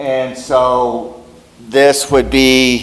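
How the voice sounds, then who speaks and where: A man's voice in a room with audible echo and noticeable background noise. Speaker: geologist giving a talk. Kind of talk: lecture. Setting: meeting room with audience. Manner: loud.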